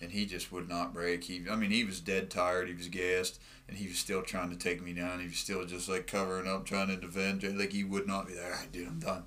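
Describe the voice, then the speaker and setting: A bright, sharp tone with an American accent, a fairly quick pace with hardly any pauses, monotone, flat intonation and audible room echo. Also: man, very deep, low pitch for a man. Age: 30s. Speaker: mixed martial arts fighter. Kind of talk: casual chat. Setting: studio.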